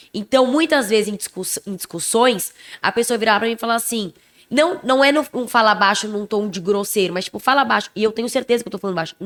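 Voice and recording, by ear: The speaker is a woman with a fairly high pitch. She talks very fast. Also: ordinary pitch variation.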